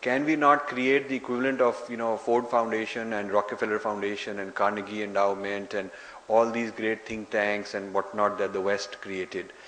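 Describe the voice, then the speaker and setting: Fairly low male voice at a moderate pace, fairly even intonation, audible room echo and noticeable background noise. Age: 60s. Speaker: author and lecturer. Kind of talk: lecture Q&A.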